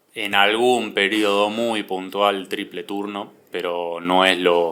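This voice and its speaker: A man's fairly low voice, monotone and flat in intonation, with a bright, sharp tone. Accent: Argentine. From Argentina, Buenos Aires area. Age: 20s. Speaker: athlete. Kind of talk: interview. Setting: podcast.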